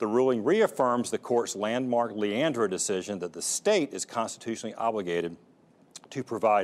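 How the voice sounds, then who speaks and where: Using an unremarkable speaking voice, a man talks at a fairly quick pace and medium pitch with ordinary pitch variation. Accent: American. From North Carolina. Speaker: education show host. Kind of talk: interview; news reading. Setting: studio.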